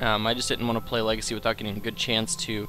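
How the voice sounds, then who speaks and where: Music plays in the background while a man speaks at a medium pitch. His pace is very fast. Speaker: gaming video commentator. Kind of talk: let's play commentary. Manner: casual, frequent filler words.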